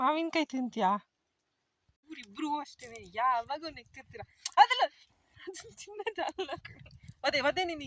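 A woman speaks in a high voice with very wide pitch swings and big swings in loudness. The sound is dry and close, with no echo. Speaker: vlogger. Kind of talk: casual vlog narration. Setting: outdoors in a farm field.

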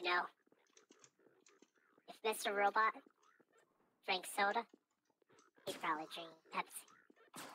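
A female-sounding put-on character voice speaks at a middle pitch. The pace is moderate, with long, frequent pauses.

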